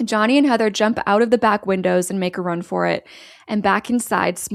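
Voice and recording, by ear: Someone is reading aloud in a natural voice, the pitch varying in an ordinary way.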